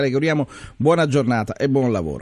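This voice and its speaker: A man's medium-pitched, plain, everyday voice at a fairly quick pace, with ordinary pitch variation and a quiet background. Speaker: radio host. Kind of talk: listener question segment.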